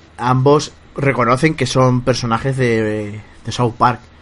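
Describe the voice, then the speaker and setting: A man talks in a normal speaking voice at medium pitch. His intonation stays fairly even. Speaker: podcast host. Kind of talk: casual chat. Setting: video call.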